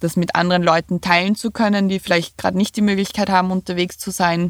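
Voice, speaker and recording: A woman with an eastern Austrian accent talks very fast in a fairly low, flat monotone over a very clean recording with a silent background. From Lower Austria, near Vienna. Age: 30s. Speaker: van dweller. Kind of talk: interview.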